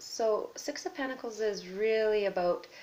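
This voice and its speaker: In a plain, everyday voice, a woman speaks at a fairly slow pace. Her pitch is fairly high, and her intonation is lively. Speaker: tarot reader. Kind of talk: tarot reading video.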